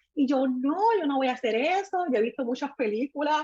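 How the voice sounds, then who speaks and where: At a fairly quick pace, a woman speaks with a high pitch and lively intonation. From Puerto Rico. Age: 30s. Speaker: makeup artist. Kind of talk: testimony.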